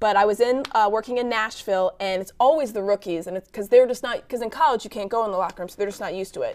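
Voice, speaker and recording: A woman rattles along at a very fast pace with hardly any pauses, her pitch fairly high. She has an American accent and an animated tone. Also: ordinary pitch variation. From Virginia, US South. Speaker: sports anchor and sideline reporter. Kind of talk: talk show interview.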